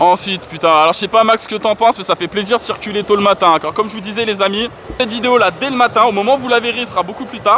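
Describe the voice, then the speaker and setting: Over noticeable background noise, a man talks at a very fast pace in a raised, projected voice. His pitch is high, with ordinary variation. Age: 30s. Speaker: gaming YouTuber. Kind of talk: vlog walkthrough. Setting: gaming convention hall. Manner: animated.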